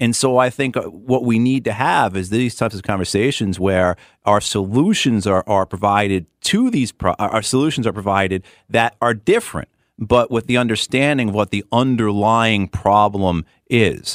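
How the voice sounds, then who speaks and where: With an ordinary speaking voice, a man talks at a moderate pace and a fairly low pitch, the sound dry and close with no echo. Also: ordinary pitch variation. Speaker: political candidate. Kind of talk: radio interview. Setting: studio.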